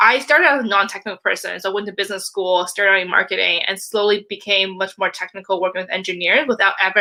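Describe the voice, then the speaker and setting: A woman at medium pitch talking very fast with hardly any pauses, noticeable background noise behind her. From Canada. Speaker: product manager and leadership coach. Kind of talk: conference talk.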